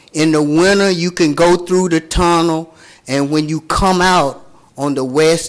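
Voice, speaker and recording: Music plays in the background as a man speaks at a fairly high pitch. He talks at a fairly slow pace with ordinary pitch variation. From Chattanooga, Tennessee (US South). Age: 60s. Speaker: public commenter. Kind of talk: public comment at council meeting.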